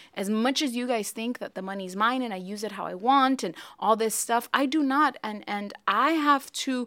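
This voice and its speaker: A woman with an American accent speaks in an unremarkable speaking voice at a fairly high pitch and moderate pace, her pitch varying in an ordinary way on a very clean recording with a silent background. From US, Mexican American. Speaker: podcast host, ministry leader. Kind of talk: casual chat about faith.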